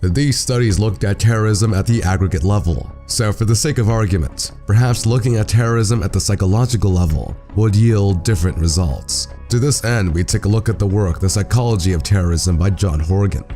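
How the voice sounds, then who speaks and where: The speech has lively intonation and hardly any pauses, with music playing in the background. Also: man, fairly low pitch for a man. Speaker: political video essayist. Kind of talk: video essay narration.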